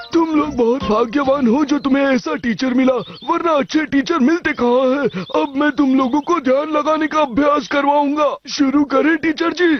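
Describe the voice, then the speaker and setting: In a cartoonish character voice, a man speaks at an extremely high pitch and a moderate pace with hardly any pauses, over clear background noise. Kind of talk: cartoon comic dub. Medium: fan dub. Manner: solemn, commanding.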